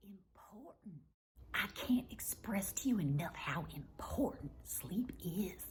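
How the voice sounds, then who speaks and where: Whispering and soft-spoken, a woman with a Southern US accent talks at a very slow pace. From US South. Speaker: wellness comedy vlogger. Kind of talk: casual monologue to camera. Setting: at home. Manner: whispering, soft.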